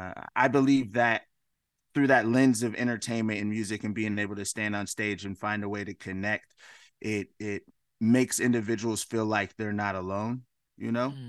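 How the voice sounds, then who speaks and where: Fairly even intonation and a moderate pace mark this voice with an American accent. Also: man, fairly low pitch for a man. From US West Coast, Washington State. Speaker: musician, filmmaker and advocate. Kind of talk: interview conversation. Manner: hesitant, many fillers.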